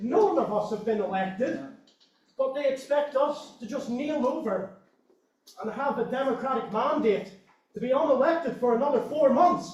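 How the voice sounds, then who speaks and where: With a Northern Irish accent, a man talks at a moderate pace and an extremely high pitch, with ordinary pitch variation. Audible room echo is present. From Northern Ireland. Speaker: activist speaking from the floor. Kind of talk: impassioned floor speech at meeting. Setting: meeting hall with audience, single microphone. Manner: animated.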